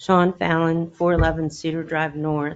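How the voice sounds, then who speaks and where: Moderate pace from a woman with a fairly low pitch. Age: 60s. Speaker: resident giving public comment. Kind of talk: public comment at town council meeting.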